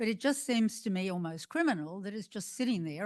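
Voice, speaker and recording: Against a quiet background, a woman speaks at a medium pitch. She goes at a fairly quick pace. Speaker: audience member asking a question. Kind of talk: audience question. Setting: museum forum with audience.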